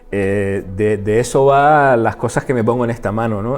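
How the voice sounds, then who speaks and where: Fairly even intonation at a moderate pace, with music in the background. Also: man. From Canary Islands, Gran Canaria. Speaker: interdisciplinary artist. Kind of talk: interview. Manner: halting.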